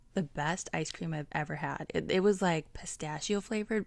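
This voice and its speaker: A woman's normal speaking voice, fairly low in pitch, with fairly even intonation and a moderate pace, on a very clean recording with a silent background. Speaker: travel vlogger. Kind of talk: vlog voiceover narration. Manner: casual, filler-heavy (like, um).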